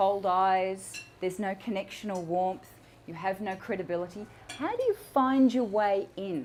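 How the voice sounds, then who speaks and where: An unremarkable speaking voice from a woman, at a moderate pace with ordinary pitch variation. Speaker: public speaking coach. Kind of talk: talk to a live audience.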